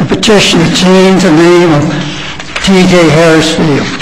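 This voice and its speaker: A man with an American accent speaks at a moderate pace in a high pitch with fairly even intonation, with audible room echo and noticeable background noise. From South Florida. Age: 80s+. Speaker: public commenter. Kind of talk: public comment. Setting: council meeting at a microphone. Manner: halting.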